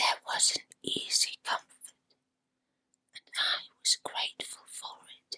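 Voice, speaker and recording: Whispering at a very slow pace with long, frequent pauses, a woman is heard in a dry, close sound with no echo. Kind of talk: ASMR true ghost story narration. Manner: whispered.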